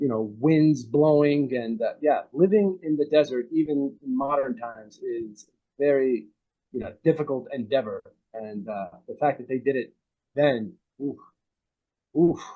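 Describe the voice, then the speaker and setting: A man with an American accent, fairly high in pitch, at a moderate pace, with ordinary pitch variation, big swings in loudness and long, frequent pauses. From United States. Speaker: actor. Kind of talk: interview answer. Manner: casual, conversational.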